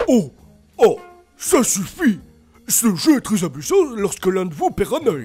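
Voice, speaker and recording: A man's put-on character voice, high-pitched with very wide pitch swings, fairly slow pace and long, frequent pauses, faint music in the background. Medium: solo performance. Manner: rambling, hesitant.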